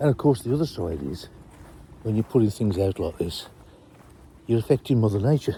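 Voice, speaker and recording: A man's fairly low, dark, mellow, somewhat breathy voice with lively intonation, a fairly quick pace and long, frequent pauses. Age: 60s. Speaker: fishery owner. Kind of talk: casual walk-around vlog. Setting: outdoors.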